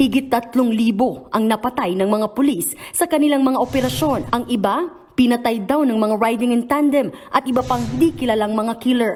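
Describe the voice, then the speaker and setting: A woman speaks at a moderate pace in a high pitch, with ordinary pitch variation and hardly any pauses. Her loudness stays very even, and noticeable background noise can be heard. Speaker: news reporter. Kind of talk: news report. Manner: formal.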